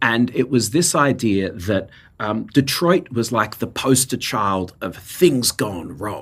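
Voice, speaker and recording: On a very clean recording with a silent background, a man with an Australian accent speaks very slowly at a medium pitch with lively intonation. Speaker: nonprofit co-founder. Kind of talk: interview.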